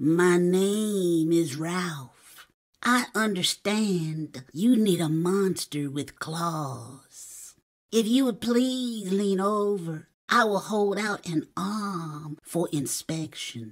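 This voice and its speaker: This is a put-on character voice that sounds female, set at a middle pitch. It moves at a very slow pace. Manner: polite, courteous.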